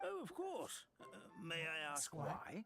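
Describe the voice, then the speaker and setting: A put-on character voice with a warm tone moves at a fairly slow pace. Faint music plays in the background. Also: man, high pitch for a man. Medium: video game. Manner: warm, chuckling.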